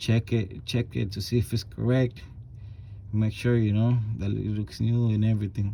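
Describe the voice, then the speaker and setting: A man mumbles at a moderate pace in a fairly low, somewhat breathy voice. His tone is dark and mellow, and his intonation stays fairly even. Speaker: auto mechanic. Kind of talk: tutorial. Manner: mumbling; casual, halting with repetitions.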